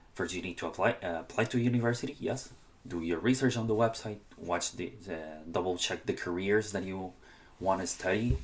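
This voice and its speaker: A man with a Spanish accent speaks at a fairly quick pace. His pitch is fairly low. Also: ordinary pitch variation. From Honduras. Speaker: student and scholarship advice creator. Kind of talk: casual podcast-style talk. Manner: halting, many fillers and restarts.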